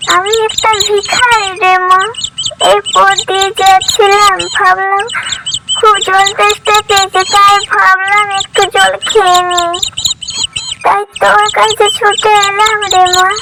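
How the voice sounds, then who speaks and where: A cartoonish character voice from a woman, extremely high in pitch, at a fairly slow pace, with fairly even intonation and very even loudness. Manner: gentle, affectionate.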